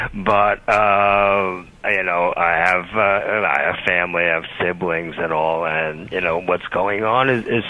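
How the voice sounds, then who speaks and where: Noticeable background noise sits behind a man with a fairly low voice. He speaks at a fairly slow pace with ordinary pitch variation. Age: 60s. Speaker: caller. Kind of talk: radio call-in.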